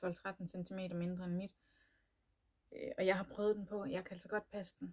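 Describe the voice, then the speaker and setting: Her voice somewhat breathy, a woman talks at a moderate pace in a medium pitch with monotone, flat intonation. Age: 30s. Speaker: knitting podcaster. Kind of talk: casual chat. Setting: home room, door locked. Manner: hesitant, many fillers.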